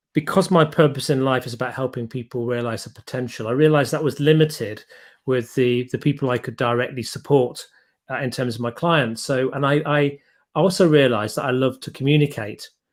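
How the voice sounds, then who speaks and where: With an English accent, a man speaks at a fairly quick pace in a fairly high pitch. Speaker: podcast host and business coach. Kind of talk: interview.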